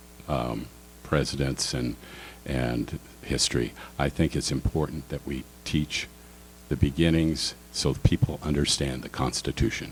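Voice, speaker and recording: A man's very deep, low pitch with vocal fry, fairly even intonation, a fairly slow pace and long, frequent pauses. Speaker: political candidate. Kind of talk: candidate forum answers. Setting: public forum with audience.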